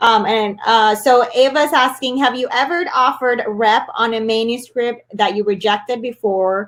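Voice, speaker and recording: This woman's voice is fairly high, with a Spanish accent. She speaks with hardly any pauses. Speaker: author and webinar host. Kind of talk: live webinar Q&A. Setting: live online webinar.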